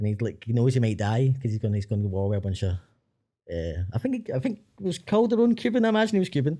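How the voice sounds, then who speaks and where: Against a quiet background, the voice races along at a very fast pace. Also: man. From Glasgow, Scotland. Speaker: filmmaker. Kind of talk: casual chat.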